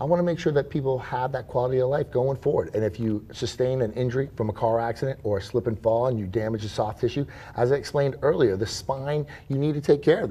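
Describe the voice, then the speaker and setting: The tone is dark and mellow, somewhat breathy. Words come at a very fast pace. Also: man, medium pitch for a man, ordinary pitch variation. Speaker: chiropractor. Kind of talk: interview answer.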